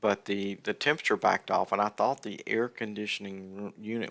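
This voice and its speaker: A bright, sharp voice with a Southern US accent at a fairly quick pace, dry and close with no echo, on a very clean recording with a silent background. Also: man. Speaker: gaming streamer. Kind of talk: casual livestream chat. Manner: halting, many fillers and restarts.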